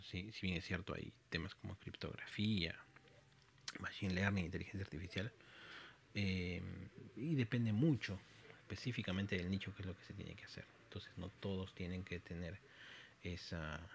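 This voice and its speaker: The voice is somewhat breathy, with big swings in loudness and fairly even intonation. It keeps a moderate pace, with long, frequent pauses. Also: man. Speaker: podcaster and programmer. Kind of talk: solo monologue podcast. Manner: halting with frequent fillers.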